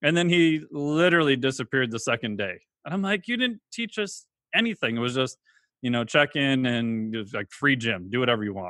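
An unremarkable speaking voice talks at a fairly quick pace with lively intonation. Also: man, medium pitch for a man. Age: 40s. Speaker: exercise physiologist and online trainer. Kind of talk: interview.

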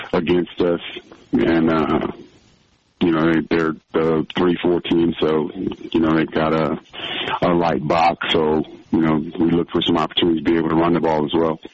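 Noticeable background noise sits under a man's very deep, low voice, delivered in monotone, flat intonation. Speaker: head football coach. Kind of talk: pregame interview. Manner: halting, many uh fillers, laughs.

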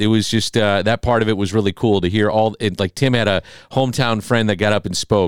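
An ordinary speaking voice moves at a fairly quick pace with fairly even intonation, its sound dry and close with no echo on a very clean recording with a silent background. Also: man. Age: 40s. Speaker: sports radio host. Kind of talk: casual chat.

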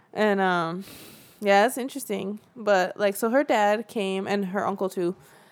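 A woman speaks in a Central Californian accent at a fairly slow pace. Her medium pitch has ordinary variation, captured in a very clean recording with a silent background. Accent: Central California English. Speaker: documentary filmmaker. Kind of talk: casual interview. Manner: laughs often.

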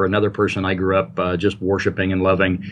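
The pace runs fairly quick. The voice carries an American accent. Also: man. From US Midwest, Indiana. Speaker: author and anthology editor. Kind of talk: casual interview. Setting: Skype call.

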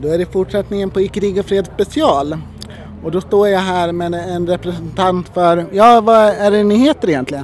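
There is noticeable background noise behind this recording. A man with a high pitch speaks at a moderate pace with ordinary pitch variation. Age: 30s. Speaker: podcast host. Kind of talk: interview.

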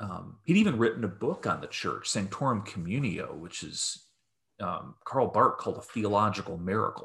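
The speaker talks at a moderate pace with an American accent, and the loudness swings a lot. The recording is very clean, with a silent background. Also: man. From US Midwest, rural Michigan. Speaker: theologian. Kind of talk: interview conversation. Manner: hesitant, many fillers.

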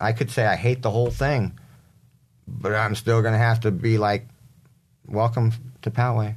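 A man with an American accent speaks at a fairly slow pace. His medium-pitched voice is somewhat breathy. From San Diego area, California. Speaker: mayoral candidate. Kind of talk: interview. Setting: studio live stream.

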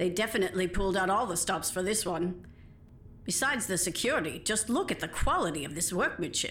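A woman talks in a normal speaking voice at a medium pitch and a fairly quick pace, with ordinary pitch variation. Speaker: voice actor playing characters. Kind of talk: acted audio drama dialogue.

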